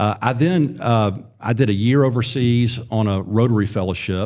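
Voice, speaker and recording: This man has a dark, mellow tone at medium pitch and speaks with an Alabama accent. His intonation stays fairly even. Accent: Alabama Southern US. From Alabama, US South (Wiregrass, Birmingham area). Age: 40s. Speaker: former state supreme court justice, political candidate. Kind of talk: podcast interview.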